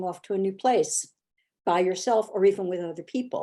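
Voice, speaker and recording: The tone is dark and mellow as a woman talks. Behind her, the background stays quiet. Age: 70s. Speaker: travel writer. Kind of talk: interview.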